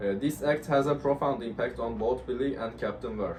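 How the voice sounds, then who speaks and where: A man talks with a Turkish accent, and audible room echo surrounds his voice. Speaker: university student. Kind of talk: class presentation discussion. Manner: hesitant, many fillers.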